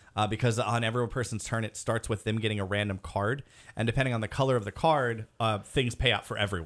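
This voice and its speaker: In a very clean recording with a silent background, a man with an ordinary speaking voice talks at medium pitch and a fairly quick pace. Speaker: podcast co-host. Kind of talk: casual chat.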